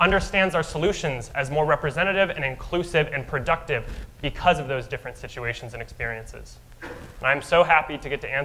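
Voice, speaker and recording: Amid noticeable background noise, a man talks at a very fast pace with ordinary pitch variation. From Albuquerque, New Mexico. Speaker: mayoral candidate. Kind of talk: candidate opening statement at a forum. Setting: stage with audience.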